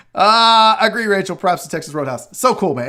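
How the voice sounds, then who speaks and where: Recorded very cleanly against a silent background, a man speaks in a raised, projected voice with an animated tone. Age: 40s. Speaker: sports talk show host. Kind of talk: casual live show chat.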